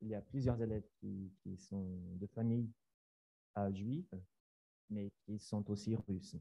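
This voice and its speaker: A man's somewhat breathy voice at a very slow pace, with long, frequent pauses and a dry, close sound with no echo. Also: fairly even intonation. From Brazil. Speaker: science teacher. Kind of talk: conference presentation. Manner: halting.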